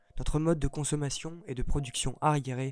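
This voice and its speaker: A man talks at a fairly quick pace. Music is audible behind his voice. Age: 20s. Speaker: student activist. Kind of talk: scripted manifesto narration. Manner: earnest, declamatory.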